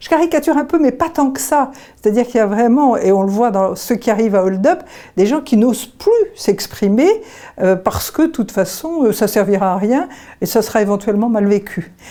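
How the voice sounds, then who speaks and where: Quick-paced and fairly high, a woman's voice has lively intonation and a dark, mellow tone. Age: 70s. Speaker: association vice-president, retired childcare worker. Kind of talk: testimony. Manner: hesitant, with frequent fillers.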